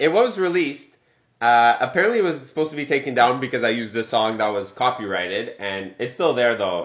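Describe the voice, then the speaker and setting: Talking at a fairly quick pace, a man sounds animated, his intonation lively. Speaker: podcast co-host. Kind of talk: casual chat. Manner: joking, animated.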